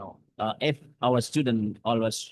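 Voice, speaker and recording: This man speaks with an Indonesian accent. His pitch sits in the medium range and varies in an ordinary way. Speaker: academic speaker. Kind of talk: lecture. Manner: halting.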